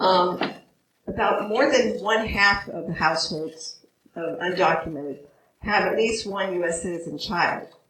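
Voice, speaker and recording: In a room with audible echo, a woman speaks fairly slowly at a medium pitch. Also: ordinary pitch variation. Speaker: immigration attorney. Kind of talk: panel presentation. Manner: hesitant, many fillers.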